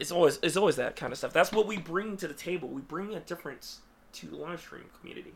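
Through noticeable background noise, a man speaks at a very fast pace and a high pitch, with ordinary pitch variation and big swings in loudness. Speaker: podcast host. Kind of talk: casual chat. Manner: animated.

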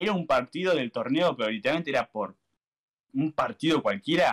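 A man speaks in a Rioplatense accent at a fairly high pitch, with very wide pitch swings. The sound is dry and close, with no echo. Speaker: YouTuber. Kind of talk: casual chat. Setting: live stream.

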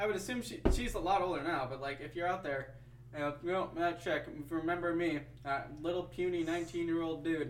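Moderate-paced speech in an American accent with fairly even intonation, over noticeable background noise. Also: man, high pitch for a man. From US Midwest, Wisconsin. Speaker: podcast co-host. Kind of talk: casual chat.

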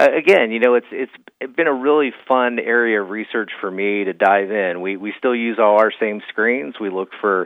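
At a moderate pace, a man talks with a fairly low pitch and ordinary pitch variation.

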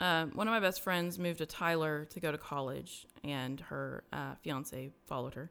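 Very clean recording, silent background: a woman speaks at a very deep, low pitch with ordinary pitch variation and hardly any pauses. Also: moderate pace. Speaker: podcast host and interviewee sharing testimony. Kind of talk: testimony interview.

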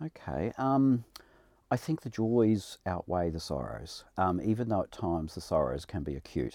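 A man's very deep, low voice with a New Zealand accent, with very wide pitch swings, at a moderate pace. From New Zealand, rural Hawke's Bay. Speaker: college principal. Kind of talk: interview.

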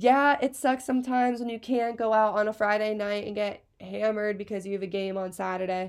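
A woman with an American accent talks at a fairly high pitch and a fairly quick pace, with hardly any pauses, in a normal speaking voice. The recording is very clean, with a silent background. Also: fairly even intonation. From Pennsylvania (Hershey). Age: 20s. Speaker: podcast host, college student. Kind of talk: casual chat.

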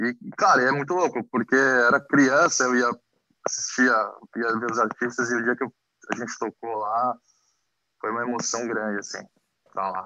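A man's bright, sharp tone in a dry, close sound with no echo, broken by long, frequent pauses. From Brazil, Mauá (Greater São Paulo). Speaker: former band member. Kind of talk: casual chat.

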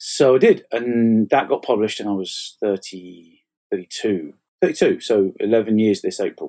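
Fairly slow speech from a man with an English accent. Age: 40s. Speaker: fantasy author. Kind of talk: casual chat. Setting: online call.

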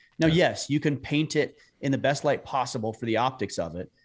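On a very clean recording with a silent background, a man with an American accent and a plain, everyday voice talks at a moderate pace with lively intonation. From southern Utah. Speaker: podcast host on manhood, hunter. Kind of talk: interview conversation.

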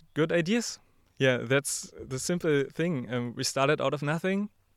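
In a German accent, a man talks at a fairly slow pace with a fairly high pitch. His pitch variation is ordinary, and the recording is very clean with a silent background. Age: young. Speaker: podcast company founder. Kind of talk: interview. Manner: hesitant, many fillers.

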